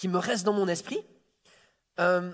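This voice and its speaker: This is a man speaking. His pitch is high. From Quebec City then France (Toulouse). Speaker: preacher. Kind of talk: sermon. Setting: church service. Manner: halting, with frequent repetitions.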